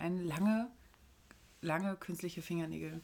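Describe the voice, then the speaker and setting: Her pace is fairly quick. The woman's pitch sits fairly low. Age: 30s. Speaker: podcast co-host. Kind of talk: casual chat. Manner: animated.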